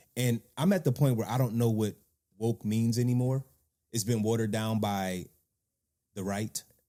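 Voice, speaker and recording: Delivered at a moderate pace with long, frequent pauses, this dark, mellow voice keeps a fairly even intonation in a dry, close sound with no echo. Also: man, medium pitch for a man. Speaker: podcast host. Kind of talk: casual chat.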